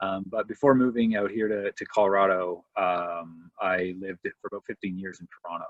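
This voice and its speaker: Speaking at a fairly quick pace with hardly any pauses, a man with a normal speaking voice and a Canadian accent keeps a fairly low pitch and fairly even intonation, though his loudness swings widely. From Canada, Windsor, Ontario. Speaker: professor of historical theology. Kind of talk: casual interview conversation.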